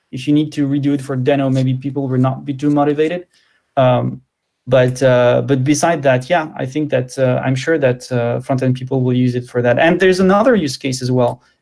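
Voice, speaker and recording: Speaking fairly quickly with a French accent, the voice keeps a fairly even intonation. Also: man, medium pitch for a man. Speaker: tech speaker. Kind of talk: Q&A interview. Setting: online live stream.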